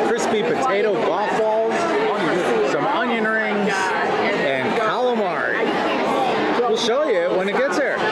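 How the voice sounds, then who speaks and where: Crowd noise fills the background as someone speaks at a very slow pace. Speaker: food vlogger. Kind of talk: casual vlog chat. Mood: jovial, upbeat. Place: bar. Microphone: phone near.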